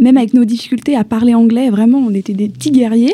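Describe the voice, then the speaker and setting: Fairly high female voice, fairly even in intonation, against noticeable background noise. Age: 20s. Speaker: young traveller. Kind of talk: radio interview.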